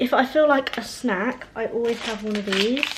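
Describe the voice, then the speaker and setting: A woman speaks in a fairly high voice with a Southern English accent. Noticeable background noise runs underneath. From Hampshire, England. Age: 20s. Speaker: student YouTuber. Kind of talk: casual talk to camera.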